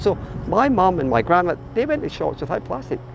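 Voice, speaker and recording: Music is heard in the background. Over it, a man speaks at a very fast pace. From Scotland, Glasgow. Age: 60s. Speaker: volunteer boat skipper and children's author. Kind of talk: casual interview monologue. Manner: hesitant with repetitions.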